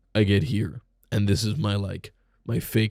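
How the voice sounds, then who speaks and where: Putting on a raspy character voice, a man speaks at a moderate pace and a fairly low pitch, with a dry, close sound and no echo. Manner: fake put-on voice.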